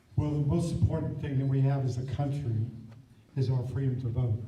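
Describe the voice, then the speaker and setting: At a moderate pace, the speech carries audible room echo over noticeable background noise. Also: man. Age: 60s. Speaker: congressional primary candidate. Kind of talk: political debate.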